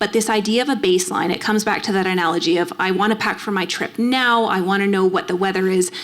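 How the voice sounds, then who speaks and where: A woman with a Canadian accent speaks at a very fast pace with hardly any pauses, over noticeable background noise. Her medium pitch has fairly even intonation and very even loudness. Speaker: endocrinologist. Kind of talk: Q&A after a lecture. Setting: library event hall with audience.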